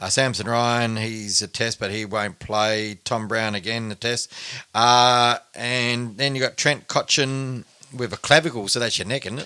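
With an Australian accent, a man speaks at a fairly slow pace, using a medium pitch and fairly even intonation. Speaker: football podcast host. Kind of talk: casual chat. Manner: halting, many fillers.

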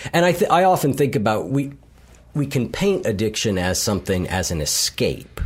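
A man with an American accent speaks at a medium pitch, with very wide pitch swings and vocal fry. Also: moderate pace. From US Midwest, Columbus, Ohio. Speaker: behavior coach and podcast host. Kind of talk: interview conversation.

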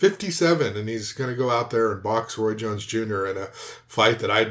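A plain, everyday voice with an American accent. The pitch varies in an ordinary way. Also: man. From Southern California. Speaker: MMA podcast co-host. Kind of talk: casual chat.

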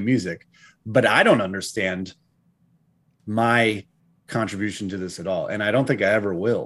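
A man with an American accent and an ordinary speaking voice, medium in pitch with ordinary pitch variation, at a moderate pace over a quiet background. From New England, US. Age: 40s. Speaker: metal band frontman. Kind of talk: casual chat. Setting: video call.

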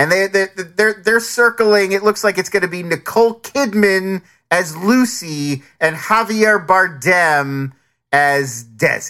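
A man with an American accent and a high pitch uses a raised, projected voice, bright and sharp, with lively intonation at a fairly slow pace. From New Jersey and Philadelphia. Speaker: podcast co-host, streaming show reviewer. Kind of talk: casual chat. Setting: video call.

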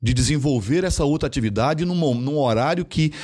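Over a silent background in a very clean recording, a man speaks with a dark, mellow tone. His pace is fairly quick and his intonation lively. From Brazil, interior of Mato Grosso. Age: 50s. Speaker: payments company executive. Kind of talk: interview conversation.

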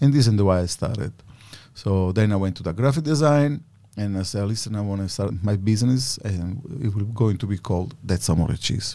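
A man's fairly low voice with an Italian accent, a dark, mellow tone, ordinary pitch variation and a fairly quick pace. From Sicily, Italy. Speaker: cheesemaker and business owner. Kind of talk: interview.

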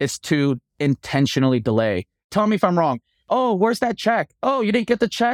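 With an American accent, a man talks at a moderate pace with very wide pitch swings, his voice dry and close with no echo on a very clean recording over a silent background. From US East Coast. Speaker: TV renovation host and contractor. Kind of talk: interview.

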